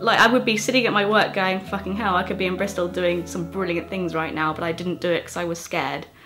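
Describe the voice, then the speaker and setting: Over music in the background, a woman with a British accent speaks at a very fast pace and medium pitch, with ordinary pitch variation and hardly any pauses. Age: 20s. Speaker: creative producer. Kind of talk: casual talk to camera.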